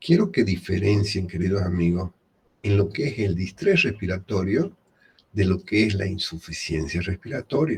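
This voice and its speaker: Quiet speech moves at a moderate pace with ordinary pitch variation. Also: man, fairly low pitch for a man. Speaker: medical lecturer. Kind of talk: lecture.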